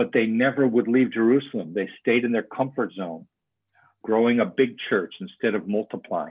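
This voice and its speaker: A man's medium-pitched voice, a plain, everyday voice, at a moderate pace. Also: ordinary pitch variation. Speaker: church movement leader and author. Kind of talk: casual interview conversation.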